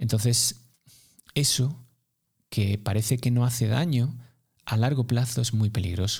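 Pausing long and often, a man speaks fairly slowly at a medium pitch, somewhat breathy, with fairly even intonation and very even loudness. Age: 40s. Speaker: running coach. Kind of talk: casual interview.

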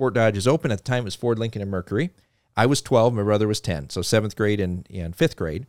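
The speaker, with a slight North Dakota accent, talks at a very fast pace with ordinary pitch variation, in a dry, close sound with no echo on a very clean recording with a silent background. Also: man. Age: 30s. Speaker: car dealership executive. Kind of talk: interview.

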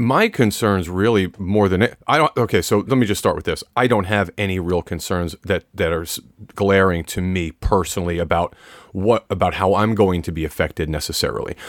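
A man with a plain, everyday voice talks at a fairly quick pace, his fairly low pitch showing ordinary variation, in a dry, close recording with no echo. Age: 50s. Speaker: relationship coach, podcast co-host. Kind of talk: casual chat.

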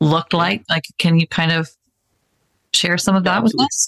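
In a dry, close sound with no echo, a woman uses an ordinary speaking voice at a fairly low pitch. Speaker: podcast host. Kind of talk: casual interview chat.

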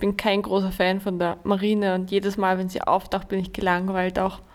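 A woman talks at a fairly quick pace. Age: 20s. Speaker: teacher, podcast co-host. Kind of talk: casual chat.

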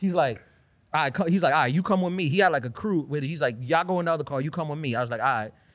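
This man talks at a very fast pace with a New York accent. His pitch is fairly high, with ordinary pitch variation. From Queens, New York. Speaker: comedian. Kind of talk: casual chat.

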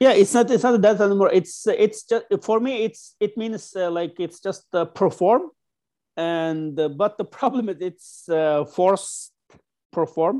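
This very clean recording with a silent background features a man speaking slowly-ish at a high pitch, with a dark, mellow tone and ordinary pitch variation. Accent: Xinjiang. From Kashgar, Uyghur region (western China). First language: Uyghur. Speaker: writer and human rights activist. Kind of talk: interview. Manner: halting, many fillers.

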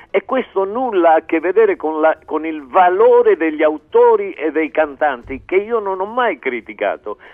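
At a moderate pace and with hardly any pauses, a man talks in an animated tone. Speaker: singer-songwriter. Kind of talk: radio interview. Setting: phone or remote link.

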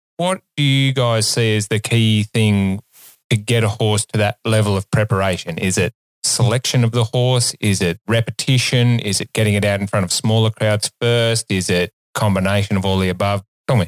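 A man's fairly low voice in an Australian accent, at a moderate pace with fairly even intonation, on a very clean recording with a silent background and a dry, close sound with no echo. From Australia, Sydney. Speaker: vet and co-host. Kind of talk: casual chat. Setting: studio.

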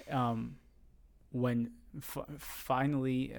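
Speaking with a Puerto Rican accent, a man keeps a medium pitch and fairly even intonation. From Puerto Rico, raised in San Juan. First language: Spanish. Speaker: guest. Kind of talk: casual chat. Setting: studio.

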